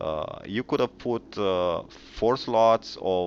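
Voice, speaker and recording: At a very slow pace, a man with a non-native accent talks with ordinary pitch variation. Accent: noticeable foreign. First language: not English. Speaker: gaming YouTuber. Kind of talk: game commentary video. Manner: hesitant, many fillers.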